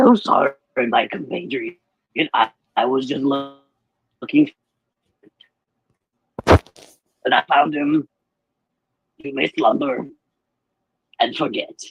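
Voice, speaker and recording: Putting on a fairly high-pitched character voice, a man speaks at a fairly slow pace with long, frequent pauses. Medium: actual play.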